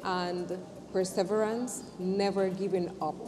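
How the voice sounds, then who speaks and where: A woman with a non-native accent at medium pitch and fairly even intonation, very slow in pace, amid audible room echo and noticeable background noise. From not Jamaica. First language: not English. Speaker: entrepreneur. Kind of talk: interview testimony. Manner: halting.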